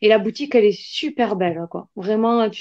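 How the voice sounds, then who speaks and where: With a fairly high pitch and ordinary pitch variation, a woman talks. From southern France, Albi. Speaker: artisan creator. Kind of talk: live video chat. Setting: livestream.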